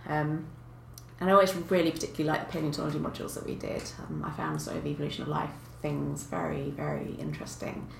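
A woman with a southern English accent talks at a very fast pace. Audible room echo and noticeable background noise are present. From Kent, south of England. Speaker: paleontologist. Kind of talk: casual chat.

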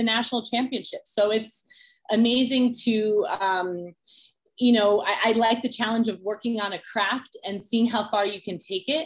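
A woman with an ordinary speaking voice. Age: 30s. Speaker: music executive and sprinter. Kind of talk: interview. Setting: in person.

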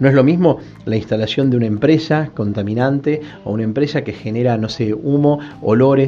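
Speaking at a fairly quick pace, a man uses a medium-pitched voice with ordinary pitch variation. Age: 40s. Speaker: ombudsman. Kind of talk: radio interview. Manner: halting.

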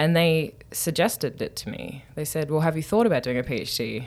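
A woman's lively intonation comes across on a very clean recording with a silent background. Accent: Australian. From Newcastle, Australia. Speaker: anthropologist, professor. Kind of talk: interview.

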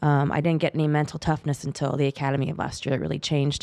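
In a Western US accent, a woman with a very deep, low pitch talks at a very fast pace, recorded very cleanly against a silent background. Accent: General American, western US. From US West Coast, Bay Area of California. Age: 40s. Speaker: police officer. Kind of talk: casual interview chat.

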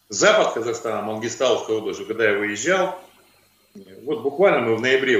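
Fairly quick delivery from a man, set in audible room echo. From Kazakhstan. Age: 50s. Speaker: trade union official. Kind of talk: video call interview. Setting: video call. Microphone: poor audio, hard to hear.

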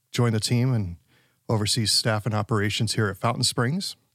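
On a very clean recording with a silent background, a man with an ordinary speaking voice talks at a moderate pace, his fairly low pitch held in fairly even intonation. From South Dakota, Rapid City (born West Texas, moved at 11). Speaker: executive pastor. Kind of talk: casual interview.

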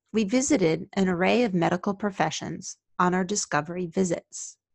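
A woman's medium-pitched voice at a moderate pace, in a dry, close sound with no echo and a quiet background. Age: 50s. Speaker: occupational therapist and podcast host. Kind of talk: scripted narration.

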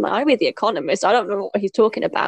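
With a British accent, a woman speaks in a fairly high pitch with ordinary pitch variation, the sound dry and close with no echo. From Britain. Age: 30s. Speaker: podcast co-host, former teacher in China. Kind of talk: casual chat.

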